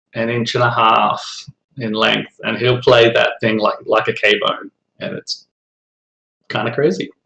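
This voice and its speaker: A man with an Australian accent speaks at a fairly slow pace, leaving long, frequent pauses. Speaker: fellow begleri slinger. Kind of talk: casual chat.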